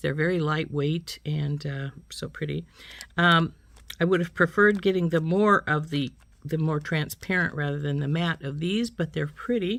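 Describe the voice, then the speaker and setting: This woman has an ordinary speaking voice, fairly low in pitch, with ordinary pitch variation at a moderate pace. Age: 60s. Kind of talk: product unboxing review. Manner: casual, with frequent fillers.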